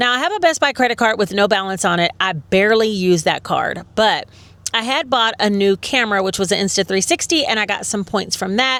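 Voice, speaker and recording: Animated and bright, with a sharp tone, a woman talks at a fairly quick pace with lively intonation and a fairly high pitch. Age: 50s. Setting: shopping in stores.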